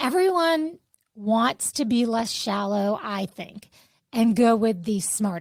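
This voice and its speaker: Intonation rises and falls in a lively way in a normal speaking voice. There is a silent background and a very clean recording. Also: woman. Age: 50s. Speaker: podcast co-host. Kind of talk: casual chat.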